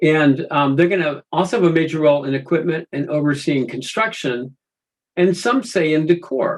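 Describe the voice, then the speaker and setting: This man has an unremarkable speaking voice, pitched fairly high, with ordinary pitch variation. He talks at a moderate pace. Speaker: project management consultant. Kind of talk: webinar presentation.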